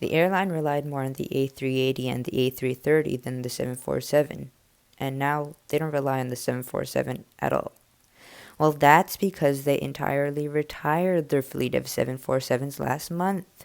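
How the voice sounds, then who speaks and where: At a moderate pace, a woman talks in a very deep, low voice with fairly even intonation. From Canada. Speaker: aviation video narrator. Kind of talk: scripted narration.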